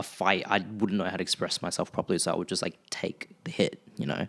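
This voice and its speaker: This man has an Australian accent and a fairly low pitch. He speaks at a fairly quick pace with fairly even intonation. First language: Vietnamese. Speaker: podcast co-host. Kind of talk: casual chat.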